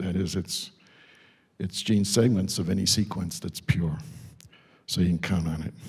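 A man speaks at a moderate pace in a fairly low, somewhat breathy voice with ordinary pitch variation over a quiet background. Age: 70s. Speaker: scientist introducing a speaker at a symposium; speaker. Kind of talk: symposium tribute and speaker introduction. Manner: conversational, informal. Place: classroom. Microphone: handheld.

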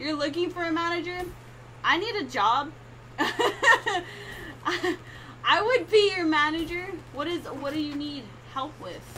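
A woman with an American accent speaks in a raised, projected voice at an extremely high pitch, moving at a fairly slow pace with long, frequent pauses. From California, USA. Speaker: gamer streamer. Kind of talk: casual live-stream talk to chat.

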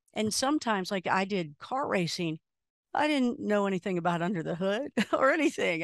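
A woman's lively intonation at a moderate pace, in a dry sound with no echo against a quiet background. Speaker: radio host as podcast guest. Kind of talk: interview answer. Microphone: studio mic.

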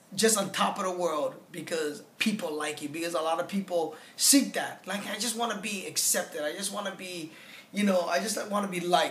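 A man's high-pitched voice with ordinary pitch variation at a moderate pace, in a room with audible echo and light background noise. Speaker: comedian giving a testimonial. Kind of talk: interview answer. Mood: reflective, candid. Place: home room. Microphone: phone near.

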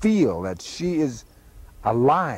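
A man with an American accent, in a dry sound with no echo. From Oglala Sioux, United States. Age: 50s. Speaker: activist and actor. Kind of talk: unscripted monologue. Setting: outdoors. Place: open country.

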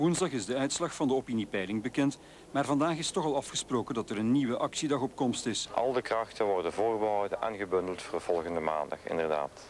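A man with a Flemish accent talks with very wide pitch swings and hardly any pauses. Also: medium pitch for a man, fairly quick pace. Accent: Flemish Dutch. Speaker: news reporter. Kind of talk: 1989 TV news reporting, scripted voice-over. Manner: formal, measured.

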